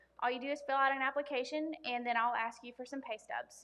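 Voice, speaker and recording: Her voice high in pitch and her intonation fairly even, a woman talks at a very fast pace. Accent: Southern US. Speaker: loan officer. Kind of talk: workshop presentation. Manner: loud; many filler ums.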